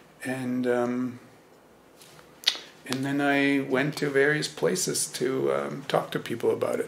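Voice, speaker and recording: A man with a German accent speaks at a fairly slow pace with long, frequent pauses over noticeable background noise. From Germany. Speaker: Zen teacher. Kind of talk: dharma talk. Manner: hesitant, many fillers.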